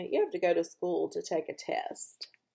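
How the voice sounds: A woman puts on a character voice with big pitch swings and vocal fry. Her tone is dark and mellow, with a slightly husky edge. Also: fairly low pitch for a woman, moderate pace.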